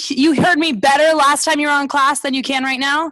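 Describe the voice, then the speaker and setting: In a bright, sharp tone, the woman speaks with a raised, projected voice. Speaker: martial arts instructor. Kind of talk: online class instruction. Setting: video call.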